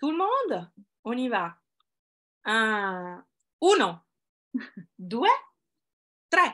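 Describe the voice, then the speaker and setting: Speaking very slowly with an Italian accent, a woman uses a fairly high, bright, sharp voice with very wide pitch swings, big swings in loudness and long, frequent pauses. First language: Italian (speaking French). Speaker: event co-host. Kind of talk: online award ceremony presentation. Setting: video call.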